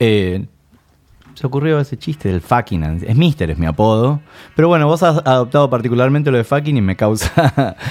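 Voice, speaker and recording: A medium-pitched man with a Rioplatense accent, very wide pitch swings and a moderate pace. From Argentina, La Plata. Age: 30s. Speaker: rock musician. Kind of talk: casual chat. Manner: emphatic.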